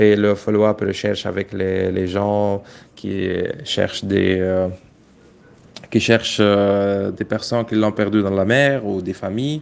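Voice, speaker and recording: Speaking with an Arabic accent, a man talks at a very slow pace with long, frequent pauses, using a fairly low pitch and monotone, flat intonation. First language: Arabic (speaking French). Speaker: migrant rights activist. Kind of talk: interview testimony. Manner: halting.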